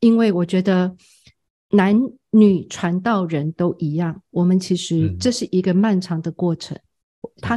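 Her tone dark and mellow, a woman speaks somewhat breathily at a fairly slow pace, with a dry, close sound and no echo. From Taiwan, Tamsui. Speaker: seminary president and homiletics professor. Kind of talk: interview.

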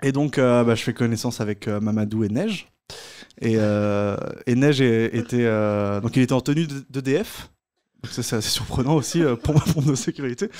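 Long, frequent pauses break up a man's fairly slow speech. His pitch varies in an ordinary way over a quiet background. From Brittany, Brest; Brittany. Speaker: comedian. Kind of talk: storytelling. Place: stage. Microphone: studio mic.

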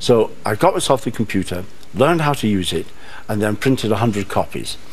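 A man's fairly low voice in a Manchester accent, fairly quick with lively intonation. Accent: Manchester, northern English. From North West England. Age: 70s. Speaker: author. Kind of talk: TV studio interview answer. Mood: warm, lively storytelling. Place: studio. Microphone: lapel.

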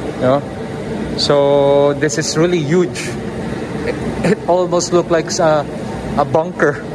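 There is noticeable background noise. Over it, a man speaks at a very slow pace. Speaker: travel vlogger. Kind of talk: casual vlog chat. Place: tunnel cave. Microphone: phone near.

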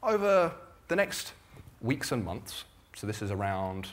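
An unremarkable speaking voice at a moderate pace. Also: man. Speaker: guest. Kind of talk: speech to an audience. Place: stage.

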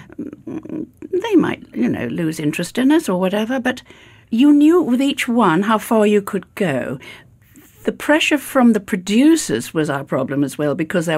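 A woman with a British accent talks at a moderate pace, her pitch swinging very widely, with vocal fry. The recording is very clean, with a silent background. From Britain. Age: 80s+. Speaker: actress. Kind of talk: interview answer.

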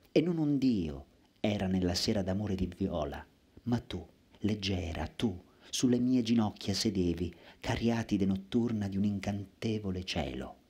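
With a dark, mellow tone and a fairly low pitch, a man talks at a fairly slow pace, leaving long, frequent pauses. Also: ordinary pitch variation. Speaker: poet reciter. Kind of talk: poetry reading aloud. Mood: intense, lyrical, dramatic. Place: stage. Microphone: headset.

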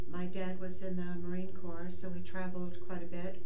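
A woman at a fairly slow pace amid noticeable background noise. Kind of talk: interview answer. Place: studio.

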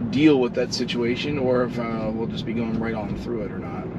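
A man is speaking. Noticeable background noise runs under his voice. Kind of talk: casual driving commentary. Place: car.

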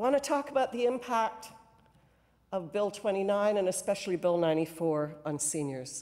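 The background is quiet. Pitch swings are very wide. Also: woman, fairly slow pace. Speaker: cabinet minister and former union leader. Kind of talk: parliamentary debate speech. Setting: legislative chamber. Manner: formal. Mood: earnest, impassioned advocacy. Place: hall. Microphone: podium.

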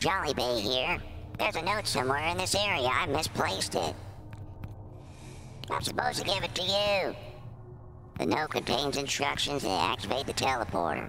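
Using a put-on character voice, a man speaks with long, frequent pauses amid loud background noise. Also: medium pitch for a man, moderate pace. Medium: role play. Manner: silly.

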